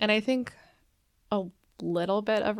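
On a very clean recording with a silent background, a woman with an Upper Midwest accent talks at a moderate pace. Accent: Upper Midwest American. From Minnesota, Twin Cities suburbs. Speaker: physician assistant. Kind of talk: interview, personal testimony.

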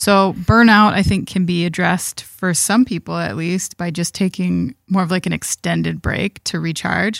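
In a very clean recording with a silent background and a dry, close sound with no echo, a woman with a plain, everyday voice speaks at a moderate pace in a fairly low pitch, with fairly even intonation and hardly any pauses. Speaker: trade journalist, co-host. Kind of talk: casual chat, live podcast.

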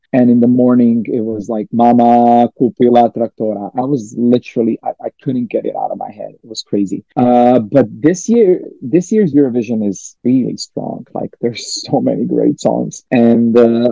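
Speaking in a Croatian accent at a moderate pace with hardly any pauses, a man with a medium pitch and ordinary pitch variation has big swings in loudness, with music in the background. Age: 30s. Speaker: singer. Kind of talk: interview. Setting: remote call.

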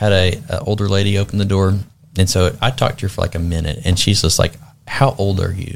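A man talks at a very fast pace, his voice somewhat breathy. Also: fairly low pitch for a man, ordinary pitch variation. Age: 30s. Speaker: state legislator-elect. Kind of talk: interview. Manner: animated.

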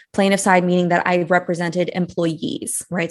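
A woman talks at a fairly quick pace in an unremarkable speaking voice. Her pitch is medium and the background is quiet. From US (Brazilian-born, moved at 8). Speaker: money coach, former employment attorney. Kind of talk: interview.

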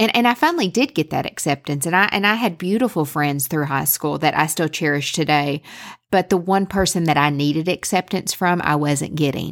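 The very clean recording with a silent background carries a woman with a Southern US accent. Her fairly low voice has an animated tone and ordinary pitch variation. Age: 30s. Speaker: podcast host. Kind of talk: personal storytelling monologue.

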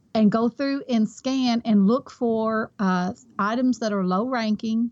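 A woman with a Kentucky accent, fairly high in pitch, at a fairly slow pace with fairly even intonation, in a dry, close sound with no echo against a quiet background. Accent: Kentucky Southern US. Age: 50s. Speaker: online reseller. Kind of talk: interview.

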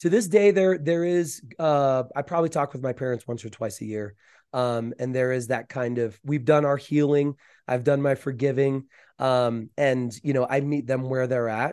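Against a quiet background, a man with a plain, everyday voice talks at a moderate pace, his medium pitch showing ordinary variation. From US South. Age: 40s. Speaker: mind coach and sound therapist. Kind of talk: interview.

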